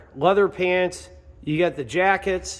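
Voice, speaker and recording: The speaker is a man with a high pitch. His tone is upbeat and enthusiastic, with ordinary pitch variation. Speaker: auctioneer. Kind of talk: auction preview walkthrough. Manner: upbeat, enthusiastic.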